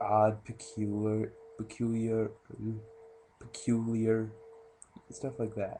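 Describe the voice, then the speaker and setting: Quiet and very slow, a man with a medium-pitched voice speaks with long, frequent pauses and big swings in loudness. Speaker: movie reviewer vlogger. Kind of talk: casual movie review. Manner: quiet, hushed.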